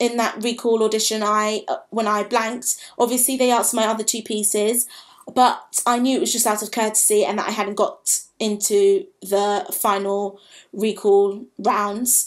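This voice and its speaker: Against a quiet background, a woman speaks at a moderate pace in a fairly high pitch with fairly even intonation. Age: 20s. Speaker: vlogger, drama school applicant; drama school applicant vlogger. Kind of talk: personal vlog monologue. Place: home room. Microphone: webcam.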